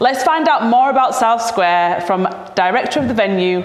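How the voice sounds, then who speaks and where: Someone with a Yorkshire accent speaks with ordinary pitch variation amid noticeable background noise and audible room echo. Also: woman. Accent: Bradford Yorkshire accent, broad vowels. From Bradford, Yorkshire. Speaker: event host, actor and producer. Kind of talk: event presenting. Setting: on location at an arts centre. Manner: occasional stumbles and restarts.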